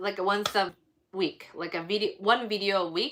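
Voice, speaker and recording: A woman speaks with a non-native accent. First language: not English. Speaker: baking YouTuber. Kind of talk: casual live stream chat. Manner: hesitant, many fillers; mumbling.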